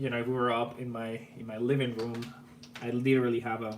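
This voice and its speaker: With an Argentine accent, a man talks at medium pitch with fairly even intonation, with audible room echo and noticeable background noise. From Argentina. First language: Spanish. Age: 30s. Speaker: electronics YouTuber. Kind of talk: live stream chat. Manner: casual, repetitive false starts.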